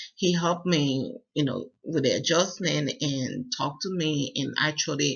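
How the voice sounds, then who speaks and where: Speaking with a West African accent, a man with a fairly high voice goes at a fairly slow pace with hardly any pauses and ordinary pitch variation. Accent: West African accent, still noticeable. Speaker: university student. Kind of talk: personal presentation. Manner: halting, many fillers.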